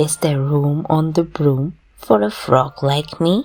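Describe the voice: A woman puts on a character voice, low-pitched with vocal fry and a slightly mellow tone, speaking slowly with ordinary pitch variation as faint music plays in the background.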